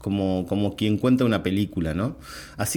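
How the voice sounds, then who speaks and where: A man talks at a fairly quick pace in a dark, mellow tone. His pitch variation is ordinary. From Argentina. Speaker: storyteller teaching in prisons. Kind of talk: interview.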